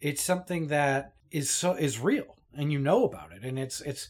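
In a very clean recording with a silent background, a man with a Canadian accent talks in an unremarkable speaking voice with ordinary pitch variation. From Toronto, Canada. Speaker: podcast co-host. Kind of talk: casual chat.

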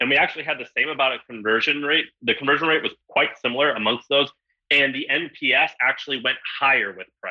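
A man with a normal speaking voice, pitched fairly high. He talks at a fairly quick pace with ordinary pitch variation. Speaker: newsletter company founder. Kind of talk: panel discussion.

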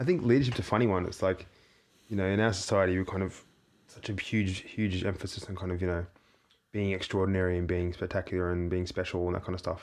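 Speaking at a very fast pace with fairly even intonation, a man with a very deep, low voice talks in an Australian accent. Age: 30s. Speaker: theatre maker and performer. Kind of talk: casual chat. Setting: small studio.

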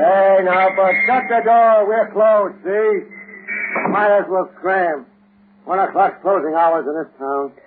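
A man does a put-on character voice at a high pitch with a slightly husky edge. He speaks slowly. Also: ordinary pitch variation.

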